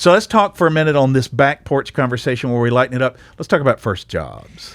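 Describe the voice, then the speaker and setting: Talking at a very fast pace in a Southern US accent, a man with a medium-pitched voice uses lively intonation, and the sound is dry and close with no echo. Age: 50s. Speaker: podcast host. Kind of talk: casual chat.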